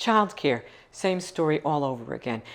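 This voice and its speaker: A woman speaks with an American accent, her pitch swinging very widely and slipping into vocal fry. The recording is very clean, with a silent background. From Long Island, New York. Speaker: nonprofit founder. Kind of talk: interview.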